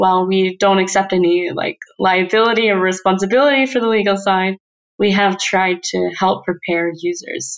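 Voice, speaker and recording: A woman with an American accent uses a normal speaking voice at medium pitch. Her pitch varies in an ordinary way, and her pace is moderate. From United States. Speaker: research scientist. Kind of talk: interview.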